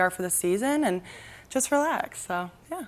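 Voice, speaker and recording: A woman with a plain, everyday voice speaks at a moderate pace and medium pitch. The recording is very clean, with a silent background. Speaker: college volleyball player. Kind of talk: media day interview.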